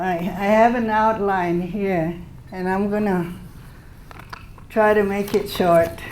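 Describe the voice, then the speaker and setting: A woman at a very slow pace with long, frequent pauses, her intonation flat and monotone, amid noticeable background noise and audible room echo. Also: medium pitch for a woman. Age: 70s. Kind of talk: speech to an audience. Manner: halting.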